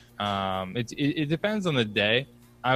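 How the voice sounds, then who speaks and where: A man talks in an American accent. Behind him, music is playing. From Philadelphia, US. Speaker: startup founder. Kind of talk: casual interview.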